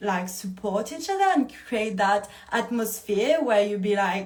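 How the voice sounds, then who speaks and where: A woman with a French accent speaks at a moderate pace and a medium pitch, her tone animated. Room echo is audible around her voice. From France. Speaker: movement coach running a retreat. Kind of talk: live Q&A. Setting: livestream. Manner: casual, animated.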